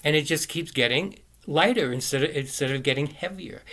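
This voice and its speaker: The tone is bright and sharp. Pitch variation is ordinary. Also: man. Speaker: video blogger. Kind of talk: casual monologue. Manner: fast; halting.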